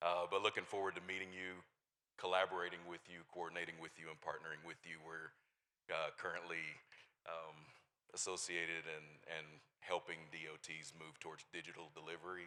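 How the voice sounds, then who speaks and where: A man with a Texan accent, a very deep, low pitch, a bright, sharp tone, monotone, flat intonation and long, frequent pauses. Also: fairly quick pace, big swings in loudness. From Texas. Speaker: engineering firm representative. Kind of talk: conference introduction.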